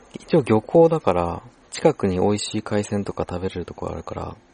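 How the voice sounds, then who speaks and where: Lively intonation marks a man's fairly low voice, recorded dry and close with no echo. Noticeable background noise is present. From Japan, Shizuoka. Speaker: podcast host. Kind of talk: casual chat.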